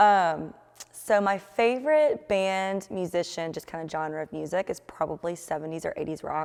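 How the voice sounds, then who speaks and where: With an energetic tone and big swings in loudness, a woman speaks at a moderate pace, her fairly low pitch showing ordinary variation. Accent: Georgia. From Marietta, Georgia. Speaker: wine market manager. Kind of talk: interview answer. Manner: energetic, casual.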